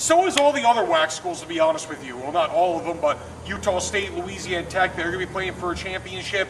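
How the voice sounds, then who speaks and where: Amid noticeable background noise, a man speaks at a fairly quick pace with ordinary pitch variation. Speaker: sports show co-host. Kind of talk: casual sports talk. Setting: outdoors. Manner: animated; loud.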